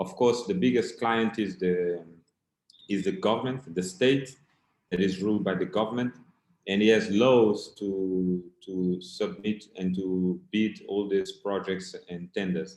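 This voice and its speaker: This man's pitch is fairly low, with ordinary variation. He speaks at a fairly slow pace in a Portuguese accent. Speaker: keynote speaker. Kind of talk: conference keynote.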